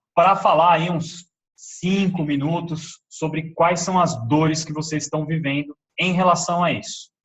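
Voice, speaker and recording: A man talks with a plain, everyday voice at a fairly slow pace. His pitch is fairly high and his intonation fairly even. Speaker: webinar presenter, entrepreneur. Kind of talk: live webinar presentation.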